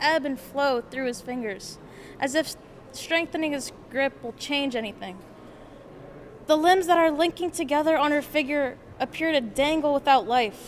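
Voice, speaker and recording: Here a woman talks in a high-pitched voice. Her pitch varies in an ordinary way. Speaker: art student. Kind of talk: reading aloud. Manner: soft-spoken.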